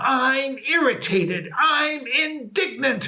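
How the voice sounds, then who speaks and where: A man uses a cartoonish character voice at an extremely high pitch and a very slow pace. Light background noise is present. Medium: puppet. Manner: angry, gruff.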